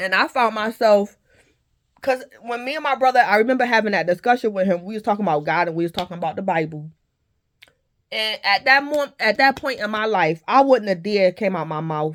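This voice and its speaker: A woman speaks at a fairly quick clip. Her intonation is lively. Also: medium pitch for a woman. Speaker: tarot reader and content creator. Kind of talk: spoken testimony monologue. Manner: loud.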